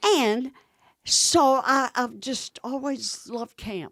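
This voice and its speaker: A woman speaks with a Southern US accent. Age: 90s. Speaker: camp founder and minister. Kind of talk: interview storytelling. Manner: animated.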